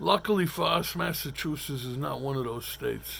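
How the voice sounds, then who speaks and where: Fairly high in pitch, a man talks in a Brooklyn accent. His pace is fairly quick and his intonation lively. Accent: New York (Brooklyn). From Brooklyn, New York. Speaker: talk show host. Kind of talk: storytelling monologue. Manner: hesitant, many fillers.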